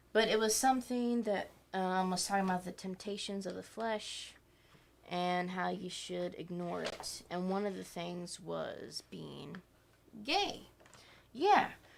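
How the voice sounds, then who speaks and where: A soft-spoken woman at a fairly slow pace. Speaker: podcast co-host. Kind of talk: casual chat.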